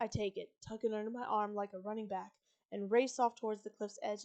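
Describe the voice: Plain reading aloud with fairly even intonation makes up this clip. Nothing much stirs behind it.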